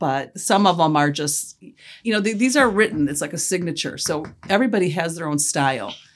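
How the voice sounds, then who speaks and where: A woman with an unremarkable speaking voice and a fairly low pitch talks fairly quickly with lively intonation. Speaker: pysanky egg artist, grandmother. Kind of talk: casual family interview.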